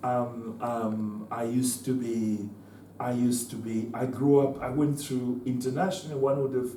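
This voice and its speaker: A man with a somewhat breathy, dark, mellow tone speaks at medium pitch with fairly even intonation, and audible room echo surrounds his voice. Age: 70s. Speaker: former liberation fighter and political speaker. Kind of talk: talk to students. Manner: halting, many repetitions.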